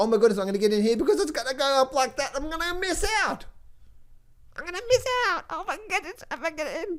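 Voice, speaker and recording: High and squeaky, the put-on character voice races at a very fast pace with very wide pitch swings. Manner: worried, rushed.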